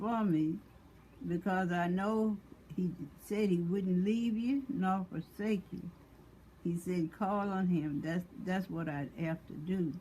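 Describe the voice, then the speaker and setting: Somewhat breathy and medium in pitch, a woman speaks at a very slow pace with ordinary pitch variation. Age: 80s+. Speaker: mother of five. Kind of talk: religious testimony talk.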